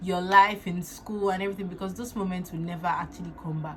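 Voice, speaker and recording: A woman talks with a Nigerian accent. Her intonation stays fairly even. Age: 20s. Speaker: makeup artist and beauty influencer. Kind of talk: casual talk to camera.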